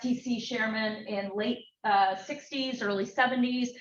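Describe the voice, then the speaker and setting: A woman speaks at a fairly high pitch with fairly even intonation, and the room echo is audible. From US West Coast (Berkeley, California). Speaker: researcher and former film executive. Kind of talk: lecture. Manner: loud.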